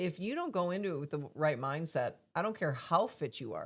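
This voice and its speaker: Using a normal speaking voice, a woman with an American accent talks at a moderate pace. Her pitch is fairly low and her intonation lively. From US, Tulsa. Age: 50s. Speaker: podcast host and coach. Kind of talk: casual interview chat.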